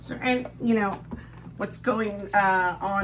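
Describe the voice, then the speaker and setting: A woman's medium-pitched voice at a fairly slow pace, with audible room echo and noticeable background noise. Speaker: guest co-host. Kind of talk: casual chat. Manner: animated.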